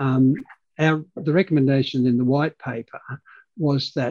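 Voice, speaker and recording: In a dry, close recording with no echo, a man with an Australian accent talks at a medium pitch with fairly even intonation. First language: Dutch. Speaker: state productivity commissioner.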